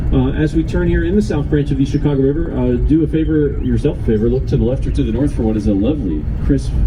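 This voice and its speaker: A man talking at a very fast pace with hardly any pauses and very even loudness, amid noticeable background noise and audible room echo. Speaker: tour guide. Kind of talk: guided tour commentary. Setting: outdoors on a river boat.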